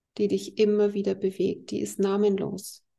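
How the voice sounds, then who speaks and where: A woman talks at a fairly slow pace with a medium pitch. Her tone is dark and mellow, with vocal fry. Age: 50s. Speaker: healer. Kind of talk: interview.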